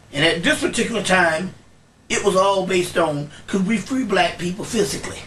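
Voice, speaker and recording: Against noticeable background noise, a man talks at a fairly quick pace and a high pitch, with ordinary pitch variation. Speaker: esoteric scholar, lecturer. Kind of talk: lecture talk to audience. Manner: energetic.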